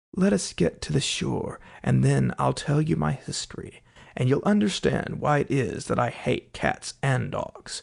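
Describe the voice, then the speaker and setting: A man performs a put-on character voice that sounds shaky. He moves at a moderate pace. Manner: passionate, upset.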